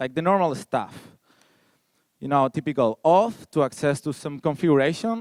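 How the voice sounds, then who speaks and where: Here a man speaks with a Spanish accent. His pitch is fairly high and his intonation lively. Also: dry, close sound with no echo. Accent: Spanish, noticeable. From Spain. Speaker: security researcher. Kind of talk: conference talk.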